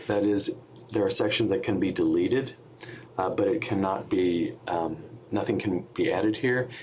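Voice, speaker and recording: With ordinary pitch variation, a man speaks while noticeable background noise is present. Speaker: software trainer for hospital staff. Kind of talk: tutorial. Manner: many filler words (um, uh).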